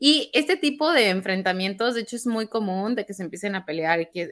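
A woman with a plain, everyday voice speaks at a medium pitch. Her pace is fairly quick and her intonation lively. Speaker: news podcast co-host. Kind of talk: casual news discussion.

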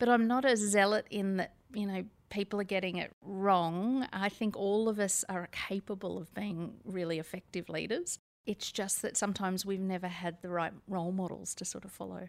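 A woman with an Australian accent at a moderate pace with fairly even intonation, on a very clean recording with a silent background. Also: medium pitch for a woman. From Australia (Sydney). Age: 50s. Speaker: author and company director. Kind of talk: interview.

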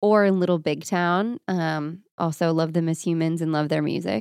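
A woman with an American accent and a normal speaking voice talks at a fairly low pitch and a moderate pace, in a dry, close sound with no echo on a very clean recording with a silent background. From Florida. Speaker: country singer. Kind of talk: interview.

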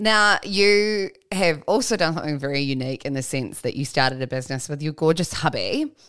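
Fairly quick, lively speech in an Australian accent, with hardly any pauses, on a very clean recording with a silent background. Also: woman, very deep, low pitch for a woman. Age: 30s. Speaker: podcast host. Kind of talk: casual interview chat.

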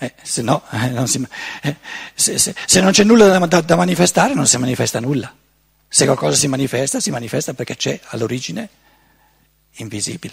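Speaking at a fairly quick pace, a man with a medium pitch makes very wide pitch swings and leaves long, frequent pauses. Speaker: lecturer on philosophy. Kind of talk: seminar lecture.

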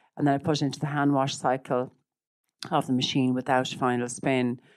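The speaker has an Irish accent and talks at a moderate pace with flat, monotone intonation. The recording is very clean, with a silent background. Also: woman. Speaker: image consultant and personal stylist. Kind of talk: casual interview chat.

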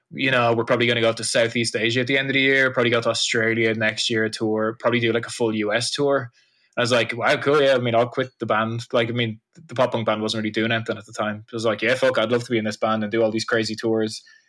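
A man with an Irish accent speaks at a very fast pace with a medium pitch, a bright, sharp tone and a monotone, flat intonation. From Irish Midlands. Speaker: punk musician. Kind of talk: casual chat.

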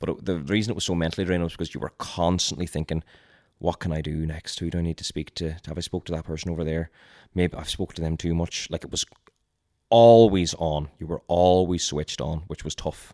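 Recorded very cleanly with a silent background and a dry, close sound with no echo, a man with a Donegal accent speaks at a fairly quick pace in a very deep, low pitch with fairly even intonation. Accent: Donegal Irish. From Donegal, Ireland. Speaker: content creator and reality show contestant. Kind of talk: casual chat.

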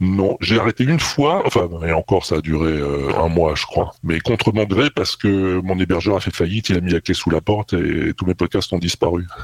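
A man speaks at a moderate pace with hardly any pauses, his pitch very deep and low with ordinary variation. The sound is dry and close, with no echo. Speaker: podcaster. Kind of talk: interview. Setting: remote call. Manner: halting.

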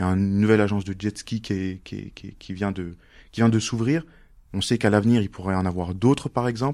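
On a very clean recording with a silent background, a dark, mellow tone comes through at a fairly quick pace with ordinary pitch variation. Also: man, fairly low pitch for a man. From Mayotte and Montluçon, France. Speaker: interviewee sharing life story. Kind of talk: casual interview. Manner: hesitant, with fillers.

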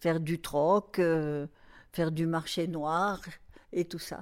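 On a very clean recording with a silent background, a woman speaks very slowly at a fairly low pitch with fairly even intonation. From southern France, Marseille. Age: 80s+. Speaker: grandmother sharing memories. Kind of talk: casual interview, reminiscing. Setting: at home, echoey large room. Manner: halting, with many hesitations.

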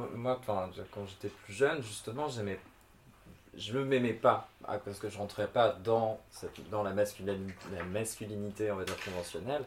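Somewhat breathy, a man speaks at a fairly slow pace and fairly low pitch. His pitch variation is ordinary, while his loudness swings a lot. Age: 30s. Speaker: drag queen. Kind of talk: casual chat. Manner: hesitant, many fillers.

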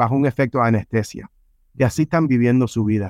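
This is an ordinary speaking voice with ordinary pitch variation. The sound is dry and close with no echo. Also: man. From Cuba, raised in San Francisco. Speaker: life coach and author. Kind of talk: podcast interview.

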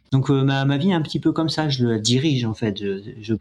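A man's speech has a moderate pace and ordinary pitch variation. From France, Yvelines. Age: 50s. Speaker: ultra trail runner. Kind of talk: interview. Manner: halting, many repetitions.

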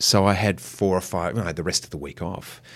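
Recorded very cleanly against a silent background, a man speaks. His pitch is fairly low and his pace moderate. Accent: Australian. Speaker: actor. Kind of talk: interview conversation.

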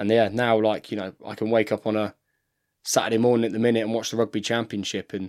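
Against a silent background on a very clean recording, a man with a fairly low pitch speaks very fast in an English accent with monotone, flat intonation. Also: dry, close sound with no echo. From England. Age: 30s. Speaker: professional rugby player. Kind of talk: casual chat. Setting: studio.

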